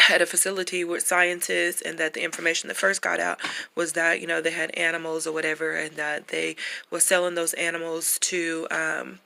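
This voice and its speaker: Her intonation monotone and flat, a woman with an American accent talks at a fairly quick pace in a fairly low pitch. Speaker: vlogger. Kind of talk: casual monologue. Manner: halting, many fillers.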